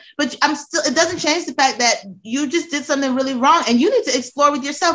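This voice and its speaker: Raising and projecting her voice, a woman speaks at a high pitch with lively intonation. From US, military kid, born in Georgia. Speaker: podcast guest, friend of host. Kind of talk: casual chat. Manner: animated.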